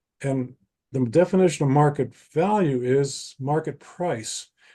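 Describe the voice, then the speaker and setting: A man's fairly high voice, dark and mellow, at a very slow pace with ordinary pitch variation against a quiet background. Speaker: appraiser and data science educator. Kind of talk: presentation in podcast interview. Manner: halting, many restarts.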